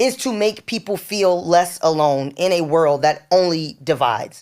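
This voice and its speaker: Speaking at a fairly slow pace, a woman uses a fairly low pitch with a New York accent. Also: very clean recording, silent background. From New York (Harlem). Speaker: stylist and entrepreneur. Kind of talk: casual interview.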